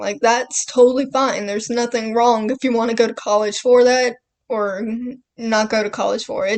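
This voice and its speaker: Here a woman with an American accent talks at a moderate pace. Her pitch is high and her intonation fairly even. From Southern United States. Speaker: artist. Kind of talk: casual talk to camera. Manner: rambling.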